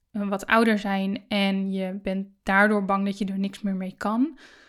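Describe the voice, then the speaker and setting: In a very clean recording with a silent background, a woman with a medium-pitched voice speaks very slowly in a flat monotone. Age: 30s. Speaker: podcast host and business coach. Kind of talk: solo podcast monologue.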